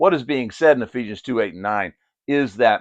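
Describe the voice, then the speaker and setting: A man's animated voice with vocal fry and an American accent, the sound dry and close with no echo over a quiet background. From Pennsylvania, US. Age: 60s. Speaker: Bible teacher. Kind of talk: Bible study discussion.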